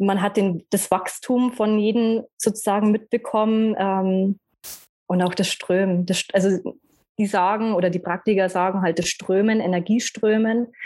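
A woman's dark, mellow tone in a flat monotone. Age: 30s. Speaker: personality trainer and numerologist. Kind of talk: casual interview.

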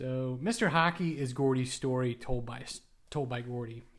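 A man's unremarkable speaking voice comes at a medium pitch with fairly even intonation. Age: 40s. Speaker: hockey book podcast host. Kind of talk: casual monologue.

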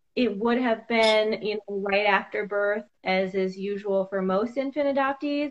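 Speaking at a fairly slow pace, the woman has a normal speaking voice at medium pitch. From US Midwest, Iowa. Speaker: hairstylist and adoptee. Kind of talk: interview.

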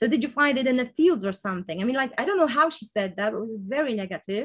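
A woman's somewhat breathy, fairly high-pitched voice. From village outside the US, non-English-speaking country. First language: not English. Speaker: interviewee sharing life story. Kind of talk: interview conversation. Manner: halting, many fillers and self-corrections.

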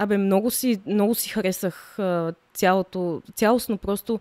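A woman's dark, mellow voice at a medium pitch, with ordinary pitch variation and a fairly slow pace, in a very clean, dry, close recording with a silent background and no echo. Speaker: professional dancer. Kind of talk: casual chat.

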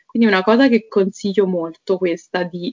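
A plain, everyday voice from a woman, medium in pitch with fairly even intonation. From Naples area, Italy. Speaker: Italian teacher. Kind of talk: casual interview chat.

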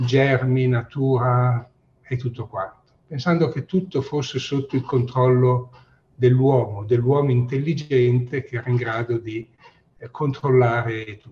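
A somewhat breathy man speaks very slowly at medium pitch, his intonation fairly even. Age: 60s. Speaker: infectious disease professor. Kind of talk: interview.

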